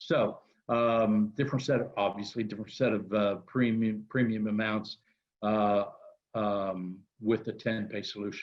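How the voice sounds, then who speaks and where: A man talks in an ordinary speaking voice at a fairly low pitch. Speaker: insurance company representative. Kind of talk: webinar presentation. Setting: webinar.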